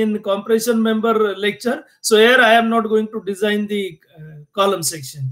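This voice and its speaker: This is a man's voice. His tone is bright and sharp. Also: quiet background. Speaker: engineering lecturer. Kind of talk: lecture. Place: home room. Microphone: webcam.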